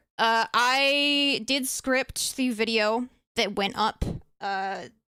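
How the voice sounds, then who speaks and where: A woman's raised, projected voice carries a bright, sharp tone and ordinary pitch variation on a very clean recording with a silent background. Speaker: vtuber streamer. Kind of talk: unscripted live stream talk. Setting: live stream. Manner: rambling, hesitant with fillers.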